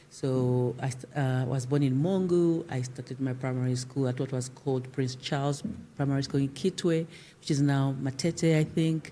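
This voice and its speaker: A woman speaks with a Zimbabwean accent in a very deep, low voice with a dark, mellow tone. Her intonation stays fairly even at a moderate pace. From Zambia (Lusaka from age seven). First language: Shona. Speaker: civil society leader. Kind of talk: interview. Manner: halting.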